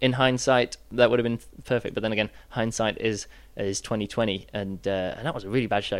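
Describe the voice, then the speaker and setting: This man speaks with a British accent. His pace is fairly quick. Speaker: juggler and show host. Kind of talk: workshop talk. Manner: hesitant with many fillers.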